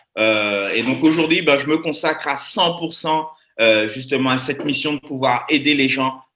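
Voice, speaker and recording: A man talks at a fairly high pitch. His pace is fairly slow, with ordinary pitch variation. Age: 20s. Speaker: network marketing presenter. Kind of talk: live webinar presentation. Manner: animated.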